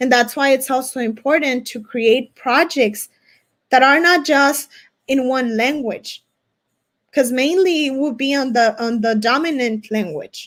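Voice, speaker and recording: Speaking with a Spanish accent, a woman uses a high pitch with ordinary variation at a fairly slow pace, in a very clean recording with a silent background. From US-Mexico border region. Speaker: academic presenter. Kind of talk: conference Q&A answer. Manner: halting, with many restarts.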